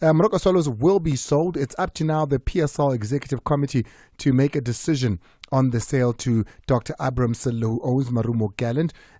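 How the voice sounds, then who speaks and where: Speaking at a very fast pace, a man with a dark, mellow tone and medium pitch shows ordinary pitch variation, captured in a dry, close sound with no echo on a very clean recording with a silent background. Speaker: sports radio host. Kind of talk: radio sports talk show.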